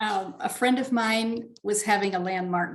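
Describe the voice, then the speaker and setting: A woman speaks in an unremarkable speaking voice at a medium pitch. Her pace is moderate, with ordinary pitch variation. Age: 60s. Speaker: spiritual author and speaker. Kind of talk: interview.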